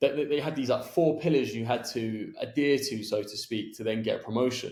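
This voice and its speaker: A man speaks with a London accent. His pace is moderate and his intonation fairly even. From southwest London, England. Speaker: podcast host. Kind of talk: podcast interview.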